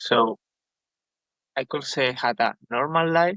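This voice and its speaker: A man with a Spanish accent speaks at a very slow pace. His pitch is medium, with ordinary variation. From Spain, village north of Madrid. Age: 20s. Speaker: podcast guest. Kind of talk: testimony. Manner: halting.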